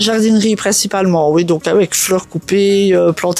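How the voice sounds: A woman speaks at a moderate pace with a fairly low pitch, a slightly mellow tone and fairly even intonation.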